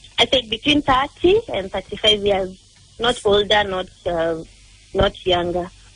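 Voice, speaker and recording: This woman speaks at a very slow pace. Her pitch varies in an ordinary way. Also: medium pitch for a woman. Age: 20s. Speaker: caller. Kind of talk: phone call to a radio dating segment.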